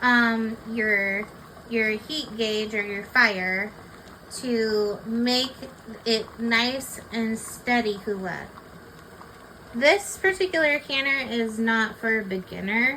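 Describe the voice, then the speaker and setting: Over noticeable background noise, a woman speaks very slowly with long, frequent pauses. Her voice is fairly high, with ordinary pitch variation. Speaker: home canning instructor. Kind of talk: tutorial. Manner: loud.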